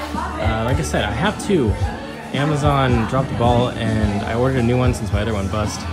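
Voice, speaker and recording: Loud music plays in the background. A man talks over it at a fairly quick pace. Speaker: wedding DJ. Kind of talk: casual vlog chat. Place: street. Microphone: phone near.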